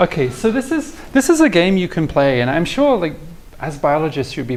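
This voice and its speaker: At a fairly quick pace, the voice swings very widely in pitch over noticeable background noise. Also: man. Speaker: mathematics professor. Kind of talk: lecture. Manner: halting, many repetitions; tapers down in volume when excited.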